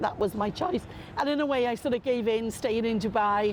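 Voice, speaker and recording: A woman speaks at a fairly high pitch with a Welsh accent. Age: 60s. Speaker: football fan. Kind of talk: interview testimony.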